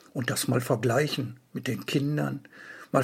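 Speaking at a fairly slow pace, a man uses fairly even intonation with vocal fry. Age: 60s. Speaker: book author. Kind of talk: event announcement.

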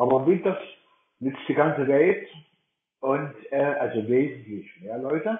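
A man speaks at a fairly slow pace with a fairly high pitch and lively intonation. Long pauses come often. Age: 60s. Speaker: blind Mac user co-leading a workshop. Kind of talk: online workshop talk.

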